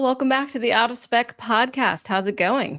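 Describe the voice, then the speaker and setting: Recorded very cleanly over a silent background, a woman speaks with an American accent. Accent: Southern twang, stronger lately. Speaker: podcast host, EV reporter. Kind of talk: podcast intro monologue.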